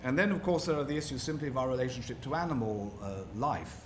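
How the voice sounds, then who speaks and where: Audible room echo surrounds a man who speaks with a British accent and lively intonation. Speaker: rabbi and interfaith lecturer. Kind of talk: public lecture. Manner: formal.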